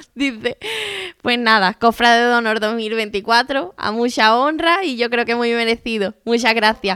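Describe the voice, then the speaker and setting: A woman's plain, everyday voice, fairly high in pitch, with ordinary pitch variation and a fairly slow pace. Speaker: interviewer. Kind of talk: interview. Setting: at guest's home.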